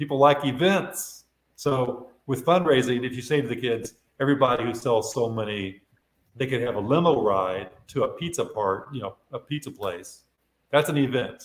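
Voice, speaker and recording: This man has a medium pitch and a somewhat breathy voice. He talks at a moderate pace with ordinary pitch variation. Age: 60s. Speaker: retired sales executive and artist. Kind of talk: casual interview.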